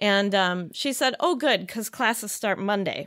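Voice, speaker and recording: With an American accent, the speaker keeps a moderate pace and ordinary pitch variation against a quiet background. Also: woman. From Chicago area, US Midwest. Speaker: yoga teacher. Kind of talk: casual interview. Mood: warm, reflective storytelling. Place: studio. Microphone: studio mic.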